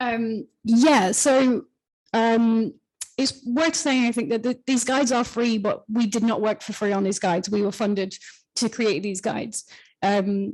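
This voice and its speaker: A woman speaks at a fairly high pitch. Her intonation stays fairly even. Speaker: writer of the freelancer guide. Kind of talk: panel discussion. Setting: live event with audience and online. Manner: fast.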